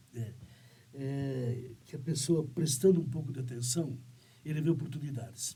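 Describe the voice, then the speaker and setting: A man with a dark, mellow tone speaks at a fairly high pitch, somewhat breathy. Audible room echo surrounds his voice. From Santa Catarina, southern Brazil. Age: 70s. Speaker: business owner. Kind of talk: interview podcast. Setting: studio. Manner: halting, with many fillers.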